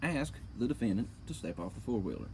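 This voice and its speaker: A man speaks in a dark, mellow tone. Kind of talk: reading aloud a police report with commentary. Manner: casual, swearing, indignant.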